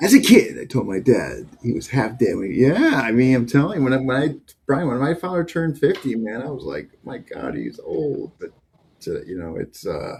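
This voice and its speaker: Speaking at a moderate pace, a man shows big swings in loudness. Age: 60s. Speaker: martial arts instructor, podcast co-host. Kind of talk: casual chat.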